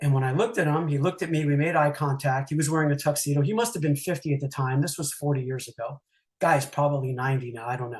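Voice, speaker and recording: Talking very fast over a quiet background, a man uses a fairly high, somewhat breathy voice with ordinary pitch variation. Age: 60s. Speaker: retired mortgage banker, airport driver. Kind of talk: interview storytelling. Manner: halting, many fillers.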